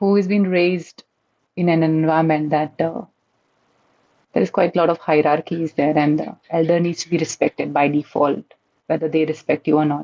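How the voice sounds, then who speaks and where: Very deep and low in pitch, a woman speaks at a moderate pace with fairly even intonation, very even loudness, and long, frequent pauses. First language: an Indian language. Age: 30s. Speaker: community member. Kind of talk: podcast interview. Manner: halting, with fillers and restarts.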